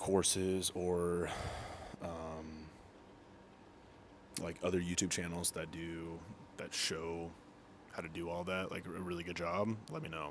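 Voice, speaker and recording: A man with a very deep, low voice speaks in a monotone, flat way, leaving long, frequent pauses as room echo is audible around him. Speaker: military cook and fitness content creator. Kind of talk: casual chat to camera. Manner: halting, many fillers and restarts.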